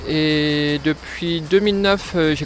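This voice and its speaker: The intonation of this man stays fairly even. Background music can be heard. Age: 30s. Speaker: DJ and music producer. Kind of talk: interview monologue. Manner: hesitant, many fillers.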